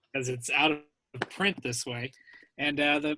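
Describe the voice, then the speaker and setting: Bright and sharp in tone, a man speaks at a moderate pace with fairly even intonation, the sound dry and close with no echo. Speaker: voice actor. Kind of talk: casual talk on video call.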